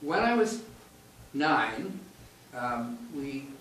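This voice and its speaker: There is noticeable background noise and audible room echo. A man speaks at medium pitch. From Canada, Victoria, British Columbia. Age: 70s. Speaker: oral history interviewee. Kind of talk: reminiscing storytelling. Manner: halting, with many fillers.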